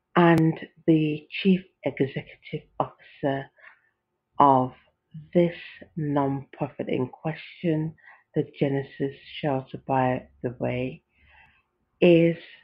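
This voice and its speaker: Very slowly and with long, frequent pauses, a woman with a British accent speaks in a very deep, low pitch with fairly even intonation. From United Kingdom. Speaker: podcaster. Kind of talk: casual podcast talk.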